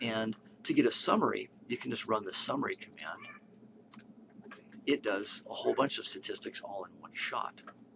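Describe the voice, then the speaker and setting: A man speaks at a moderate pace, leaving long pauses often. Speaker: statistics instructor. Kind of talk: tutorial.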